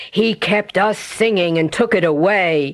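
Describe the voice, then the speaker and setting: A woman puts on a character voice. Her pitch is medium and her sound is raspy. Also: moderate pace. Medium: read story. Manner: stubborn.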